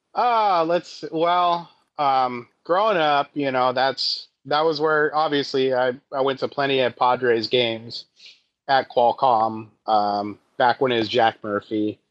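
With an American accent, a man speaks at a fairly slow pace in a medium pitch and a normal speaking voice. His loudness stays very even. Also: ordinary pitch variation. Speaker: comedian. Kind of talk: casual chat.

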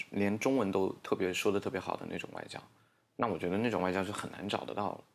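Very fast in pace, a man with a fairly low pitch speaks with ordinary pitch variation. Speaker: English-teaching social media creator. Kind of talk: casual interview chat.

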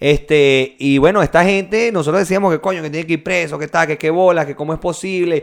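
Speaking at a fairly quick pace with hardly any pauses, a man with a Venezuelan accent uses a fairly high pitch and fairly even intonation on a very clean recording with a silent background. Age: 20s. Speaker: podcast co-host. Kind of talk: casual chat.

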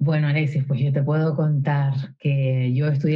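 A woman's very deep, low, somewhat breathy voice at a moderate pace with ordinary pitch variation. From Canary Islands, Spain. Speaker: singer-songwriter. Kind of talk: interview conversation. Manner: hesitant, with many fillers and repetitions.

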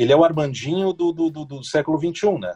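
Music plays in the background. A man speaks with a fairly high pitch and lively intonation. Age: 40s. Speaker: radio broadcaster. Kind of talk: casual interview chat. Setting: podcast interview. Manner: halting, many repetitions.

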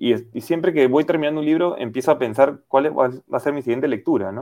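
A man is speaking. His tone is dark and mellow. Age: 30s. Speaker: professional footballer. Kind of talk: radio interview. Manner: hesitant with fillers.

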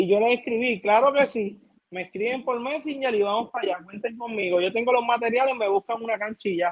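A man with a Puerto Rican accent speaks at a fairly quick pace, his pitch extremely high and its variation ordinary. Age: 20s. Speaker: youth basketball coach. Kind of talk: casual interview.

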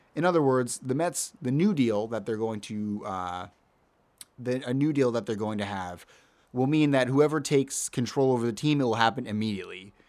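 At a fairly quick pace, a man talks in an ordinary speaking voice at a medium pitch with ordinary pitch variation, in a very clean recording with a silent background. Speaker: podcast host. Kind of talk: casual sports podcast chat, heated debate.

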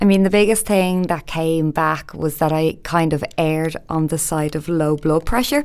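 In a Dublin accent, a woman speaks at a fairly slow pace and a fairly low pitch on a very clean recording with a silent background. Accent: Dublin Irish. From Ireland, Dublin. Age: 20s. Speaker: podcast host. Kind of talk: personal monologue.

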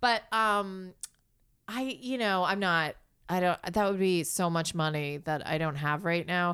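A woman with a plain, everyday voice and fairly low pitch speaks at a fairly slow pace with ordinary pitch variation and very even loudness, in a very clean recording with a silent background. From US Northeast, New York City. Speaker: actor. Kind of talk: casual chat. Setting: living room at home.

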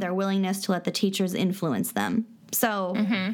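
A plain, everyday voice. It comes with an American accent. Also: woman. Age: 30s. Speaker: podcast co-host. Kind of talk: casual chat with reading of definitions.

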